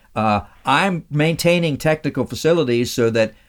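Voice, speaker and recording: A man with an American accent speaks at a fairly slow pace in an unremarkable speaking voice, his intonation lively. The recording is very clean, with a silent background. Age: 60s. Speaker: radio host and interviewee.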